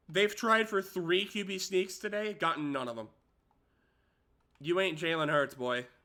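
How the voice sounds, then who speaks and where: His voice raised and projected with a bright, sharp tone, a man speaks at a high pitch and a moderate pace, with lively intonation and long, frequent pauses. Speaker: gaming streamer. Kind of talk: gameplay commentary. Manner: animated.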